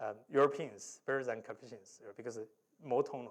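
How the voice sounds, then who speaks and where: A man with a Chinese accent speaks in a fairly high pitch at a moderate pace. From China. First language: Mandarin Chinese. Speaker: professor. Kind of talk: lecture.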